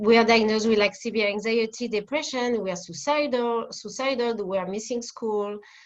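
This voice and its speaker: With a French accent, a woman speaks fairly quickly with hardly any pauses, her fairly high pitch varying in an ordinary way. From France, Paris. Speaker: family therapist. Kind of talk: interview. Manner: halting.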